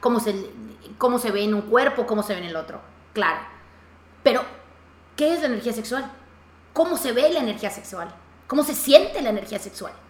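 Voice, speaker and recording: A woman with a fairly high pitch, an animated tone and lively intonation, a fairly quick pace broken by long, frequent pauses, over noticeable background noise. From Mexico, Yucatán. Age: 30s. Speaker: podcast host. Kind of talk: casual interview.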